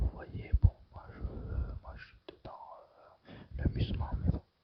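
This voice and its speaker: Someone whispers at a very slow pace. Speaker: gamer streamer. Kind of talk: ASMR gaming commentary. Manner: whispered.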